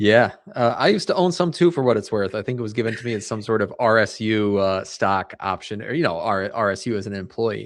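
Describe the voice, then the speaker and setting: Against a quiet background, a man with a fairly low pitch and ordinary pitch variation speaks at a very fast pace with hardly any pauses. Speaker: financial advisor, podcaster. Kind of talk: casual interview.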